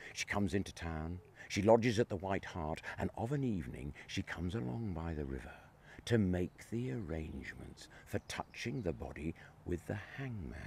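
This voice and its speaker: A somewhat breathy man's voice, very deep and low, with very wide pitch swings and a moderate pace. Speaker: town crier; ghost walk storyteller. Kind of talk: ghost story telling.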